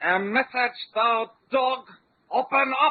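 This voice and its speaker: A put-on character voice at a fairly high pitch moves along at a fairly slow pace. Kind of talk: archaic, insulting ('thou dog'). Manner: gruff, commanding.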